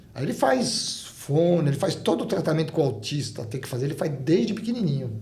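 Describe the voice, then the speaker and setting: A man with a fairly high pitch talks at a fairly quick pace, with hardly any pauses and very wide pitch swings. Noticeable background noise is present. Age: 60s. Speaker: ultramarathon runner. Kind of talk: interview.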